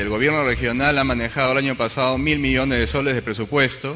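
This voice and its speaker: Speech at a fairly quick pace with ordinary pitch variation comes through noticeable background noise. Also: man. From Peru, Cañete. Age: young. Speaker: engineer and political hopeful. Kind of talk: interview.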